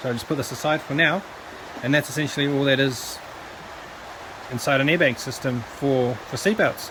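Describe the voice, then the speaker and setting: A man talks at a fairly quick pace in a fairly high pitch with ordinary pitch variation. Long, frequent pauses break it up, and there is noticeable background noise. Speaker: electronics scrapping hobbyist. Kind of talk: tutorial. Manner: soft-spoken.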